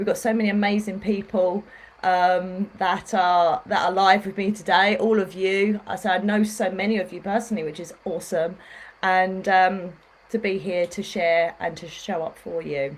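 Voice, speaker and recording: In a British accent, a woman speaks at a medium pitch with fairly even intonation. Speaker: spiritual healer. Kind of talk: facebook live talk. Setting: livestream. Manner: fast.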